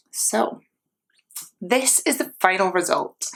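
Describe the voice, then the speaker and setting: A woman with a medium-pitched voice talks fairly slowly, her pitch shifting in an ordinary way. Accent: British. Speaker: beauty vlogger. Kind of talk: casual vlog.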